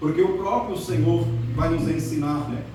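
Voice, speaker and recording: Noticeable noise and audible room echo are present. The man talks at a moderate speed. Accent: slight non-native. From Netherlands. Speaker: church elder preacher. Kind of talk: sermon.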